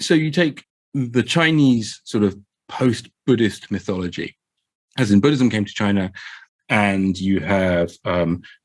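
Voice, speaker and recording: In a south London accent, the voice carries lively intonation. The pace is fairly slow. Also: man, fairly low pitch for a man. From England, Croydon (south London). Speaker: game master and podcast guest. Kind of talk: casual discussion. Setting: podcast recording. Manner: hesitant, many fillers and repeats.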